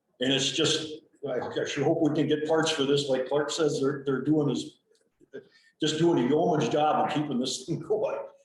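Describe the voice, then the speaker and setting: Audible room echo is present. Speech comes at a moderate pace with fairly even intonation. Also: man, fairly high pitch for a man. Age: 60s. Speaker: county maintenance worker, retiring. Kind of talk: committee meeting report. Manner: halting, repetitive.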